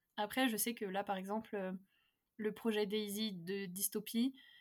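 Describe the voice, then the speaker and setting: Here is a woman with an unremarkable speaking voice at a medium pitch. Her intonation stays fairly even. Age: 20s. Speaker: novelist. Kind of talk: casual chat.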